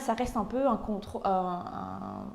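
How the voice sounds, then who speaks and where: A woman speaks with ordinary pitch variation. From Flanders, Belgium (Tienen). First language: Dutch (speaking French). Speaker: painter. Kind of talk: interview. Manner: halting, many hesitations.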